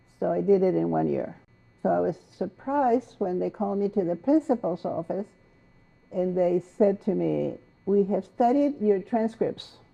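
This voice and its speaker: A woman with a Spanish accent at a moderate pace. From Mexico. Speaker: poet and essayist. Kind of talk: interview.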